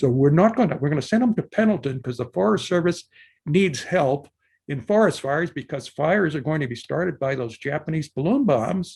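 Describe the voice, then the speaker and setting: The speech moves at a fairly quick pace with lively intonation and a somewhat breathy quality over a quiet background. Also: man, fairly high pitch for a man. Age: 80s+. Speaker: army veteran and lecturer. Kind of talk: lecture. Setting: video call.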